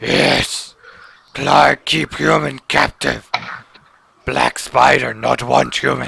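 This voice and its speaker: Putting on a character voice, a man rasps at a very deep, low pitch, going at a very slow pace with long, frequent pauses. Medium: actual play. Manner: broken third-person speech.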